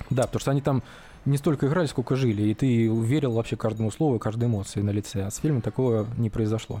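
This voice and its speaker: A man speaks very fast in a medium pitch with a dark, mellow, somewhat breathy tone, very even loudness and ordinary pitch variation. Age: 30s. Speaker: podcast co-host. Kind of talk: casual chat.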